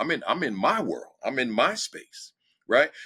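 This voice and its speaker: A man with an American accent speaks at a fairly slow pace, his voice bright and sharp with vocal fry and very wide pitch swings. The recording is very clean, with a silent background. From New Jersey. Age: 60s. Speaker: education speaker and former principal. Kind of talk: podcast interview. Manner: direct; animated.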